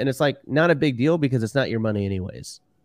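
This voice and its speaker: Recorded very cleanly against a silent background, with a dry, close sound and no echo, a man with an American accent talks at a medium pitch with lively intonation. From Houston, Texas. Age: 30s. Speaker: real estate investor and podcast co-host. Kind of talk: interview, casual chat. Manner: animated.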